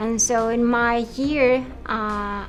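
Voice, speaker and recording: A woman speaks with music in the background. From Colombia. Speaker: director, writer, producer, actor. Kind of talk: interview answer.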